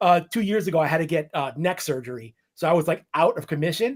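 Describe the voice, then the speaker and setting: A man talks with a New York accent at a fairly quick pace. His pitch is fairly high. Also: very clean recording, silent background. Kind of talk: casual chat.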